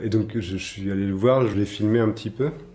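Somewhat breathy, with a dark, mellow tone, the voice moves at a fairly quick pace. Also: man. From Brittany, France. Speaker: artist and designer. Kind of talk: interview. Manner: hesitant, many fillers.

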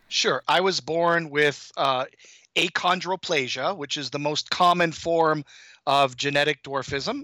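Recorded very clean with a silent background and a dry, close sound with no echo, a man with an Ontario accent speaks at a fairly slow pace in a fairly high pitch, his tone bright and sharp and his intonation fairly even. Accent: Canadian (Ontario) English. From Canada, Toronto. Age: 50s. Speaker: high school math teacher, endurance athlete. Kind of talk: interview, casual chat.

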